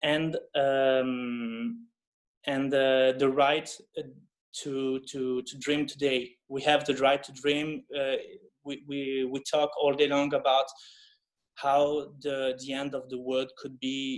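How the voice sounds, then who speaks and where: A man with a French accent talks at a very slow pace and a fairly high pitch. His intonation is monotone and flat, while his loudness swings widely. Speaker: film director. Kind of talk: interview. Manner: halting.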